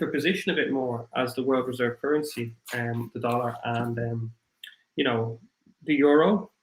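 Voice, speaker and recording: A man speaks in a strong Irish accent at a moderate pace, somewhat breathy. His pitch sits at a medium level with ordinary variation. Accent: thick Irish. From Ireland. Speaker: crypto livestream host. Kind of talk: livestream chat. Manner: halting, many fillers.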